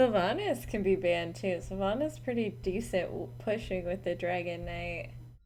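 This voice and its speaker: Audible room echo surrounds a woman who talks with hardly any pauses. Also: moderate pace. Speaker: esports caster. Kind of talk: live commentary. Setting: live stream. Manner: animated.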